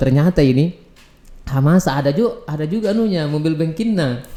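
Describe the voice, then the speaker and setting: A man speaks with a Makassar accent. His tone is dark and mellow, with ordinary pitch variation. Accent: Makassar Indonesian. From South Sulawesi, Makassar. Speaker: podcast host. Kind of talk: casual interview.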